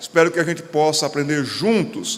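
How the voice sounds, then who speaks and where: A man with a Pernambuco accent speaks at a moderate pace in a fairly high pitch with lively intonation, over noticeable background noise. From Pernambuco, Brazil. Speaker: pastor. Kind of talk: lecture. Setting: stage with audience.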